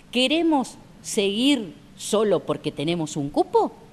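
At a fairly high pitch, a woman speaks with very wide pitch swings. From Argentina. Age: 50s. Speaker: author; interviewee, journalist. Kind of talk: casual interview. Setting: outdoor café patio. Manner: halting, many repetitions. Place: garden.

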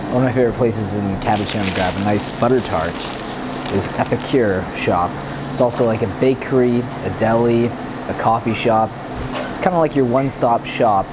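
Loud background noise sits behind a man speaking at a fairly quick pace. His pitch varies in an ordinary way. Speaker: food vlogger. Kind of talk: casual vlog chat. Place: cafe.

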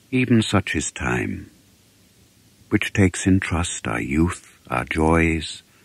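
A man talks with vocal fry in a dry, close sound that has no echo. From England. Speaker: actor. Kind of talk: poetry reading.

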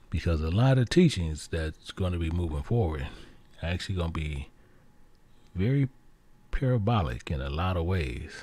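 A man speaks at a moderate pace with long, frequent pauses, his very deep, low voice somewhat breathy with a dark, mellow tone. His intonation is lively. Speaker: Bible teacher. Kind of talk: sermon.

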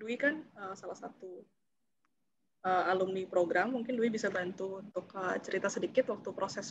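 A woman at a moderate pace with ordinary pitch variation, amid noticeable background noise. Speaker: scholarship alumna; webinar moderator. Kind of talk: webinar Q&A answer. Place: home room. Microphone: video call.

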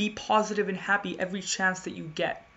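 A woman talks at a moderate pace. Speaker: spoken word poet. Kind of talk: performed slam poetry, rhymed spoken word. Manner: rhythmic, building rhyming cadence; earnest, persuasive, rising to urgent crescendos. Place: home room. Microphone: webcam.

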